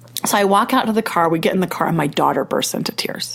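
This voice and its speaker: Over noticeable background noise, a woman with a Utah accent talks very fast in an animated tone, with lively intonation and medium pitch. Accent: Utah American English. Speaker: podcast host. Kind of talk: casual chat; storytelling.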